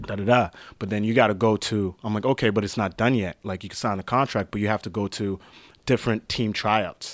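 In a normal speaking voice, a man with a fairly low pitch and fairly even intonation talks at a fairly quick pace on a very clean recording with a silent background and a dry, close sound with no echo. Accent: Canadian. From Canada. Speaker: street basketball player. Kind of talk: casual interview.

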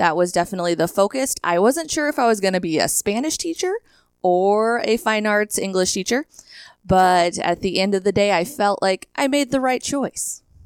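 A woman speaks in a plain, everyday voice with an American accent, at medium pitch and a moderate pace. Her intonation is lively, her loudness very even, and the recording very clean with a silent background. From rural western Nebraska (Hershey, near North Platte). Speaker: high school theater and speech coach. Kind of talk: interview.

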